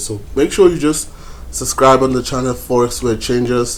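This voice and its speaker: A man of medium pitch with a Zulu accent, fairly even intonation, and a moderate pace. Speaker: forex trading YouTuber. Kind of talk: tutorial. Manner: hesitant, many fillers.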